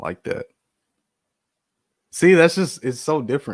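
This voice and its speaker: A man with an American accent and lively intonation at a moderate pace, dry and close with no echo, on a very clean recording with a silent background. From Texas. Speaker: photography youtuber. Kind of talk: live stream Q&A, website reviews. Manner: casual, conversational.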